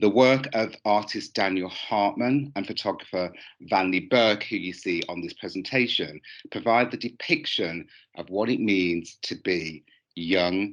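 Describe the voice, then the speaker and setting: A man with a Birmingham accent, fairly low in pitch and fairly slow, against a quiet background. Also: ordinary pitch variation. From England, Birmingham. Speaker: fashion lecturer. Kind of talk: conference presentation. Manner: hesitant with frequent fillers.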